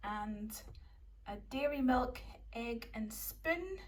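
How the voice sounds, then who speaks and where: A woman speaks with a Scottish accent. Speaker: YouTuber. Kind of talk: grocery haul vlog. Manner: casual and chatty.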